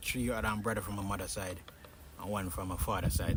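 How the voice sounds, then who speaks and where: A man with a Jamaican accent and a fairly low pitch at a fairly quick pace, with noticeable background noise and audible room echo. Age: 20s. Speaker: fitness YouTuber. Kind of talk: casual chat. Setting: outdoors. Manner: halting.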